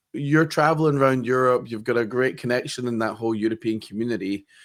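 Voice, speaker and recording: Speaking with a Scottish accent, a man keeps a fairly quick pace at medium pitch with ordinary variation. The recording is very clean, the background silent. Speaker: podcast host. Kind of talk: podcast interview. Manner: halting.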